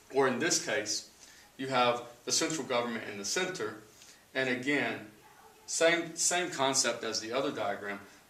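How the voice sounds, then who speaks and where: There is audible room echo and noticeable background noise as a man with an American accent talks at a medium pitch. His pitch variation is ordinary, and he takes long, frequent pauses. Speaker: sixth grade social studies teacher. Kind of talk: lecture. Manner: fast.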